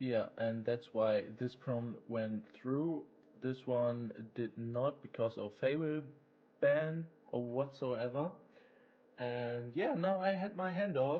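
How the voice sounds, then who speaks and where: Speaking with a German accent, a man talks at a very slow pace. His pitch is medium, with ordinary variation. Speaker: YouTuber, AI game developer. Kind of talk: casual devlog screen-share talk. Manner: casual with many fillers and repetitions.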